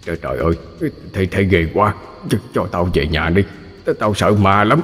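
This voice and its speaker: The put-on character voice sounds shaky, with ordinary pitch variation. It moves at a fairly slow pace over light background noise. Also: man, very deep, low pitch for a man. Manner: terrified, pleading.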